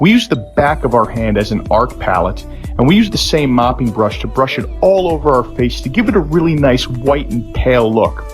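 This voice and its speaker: Over music in the background, a man talks at a fairly quick pace in a playful, serious tone. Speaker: husband doing a comedic voiceover. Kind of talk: comedic voiceover parody of a makeup tutorial. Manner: playful, mock-serious.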